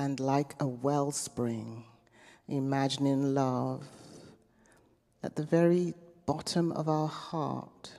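At a very slow pace and with long, frequent pauses, the voice has a dark, mellow tone and fairly even intonation over a quiet background. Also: woman, very deep, low pitch for a woman. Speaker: meditation guide; minister. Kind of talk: guided meditation. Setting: chapel. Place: church. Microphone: handheld.

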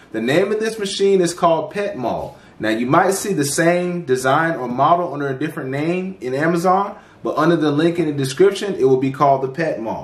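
A man talks at a fairly quick pace. There is audible room echo. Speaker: channel host reviewing products. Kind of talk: product review tutorial. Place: home room.

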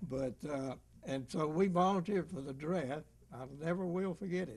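At a moderate pace, a man talks in a somewhat breathy voice. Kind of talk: interview answer.

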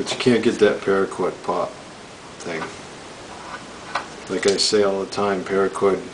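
A man's voice is heard with light background noise behind it. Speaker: knife reviewer. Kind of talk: product review demo. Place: home room. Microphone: camera far.

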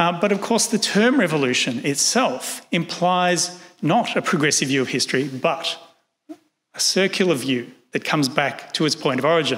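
Speaking at a moderate pace with very even loudness, a man with an Australian accent uses lively intonation and a high pitch. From Australia, Sydney. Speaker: historian. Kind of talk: lecture; Q&A answers. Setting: stage with audience. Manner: formal. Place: hall. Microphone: podium.

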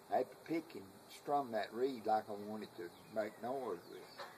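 With light background noise, a man speaks at a moderate pace and with ordinary pitch variation. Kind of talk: casual conversation, boasting. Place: home room. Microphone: camera far.

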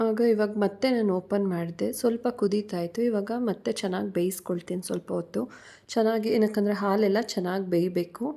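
The recording is very clean, with a silent background. A woman speaks at medium pitch with a dark, mellow tone and fairly even intonation. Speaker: vlogger. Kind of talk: vlog narration.

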